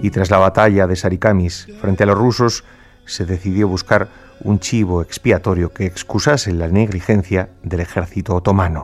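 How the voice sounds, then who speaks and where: A man with a Spanish accent speaks at a very deep, low pitch with fairly even intonation. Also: moderate pace. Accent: Peninsular Spanish. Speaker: radio host narrator. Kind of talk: dramatic narration of historical events, radio storytelling. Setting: radio studio broadcast. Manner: solemn, grave, measured pace; emotionally charged, somber, building tension.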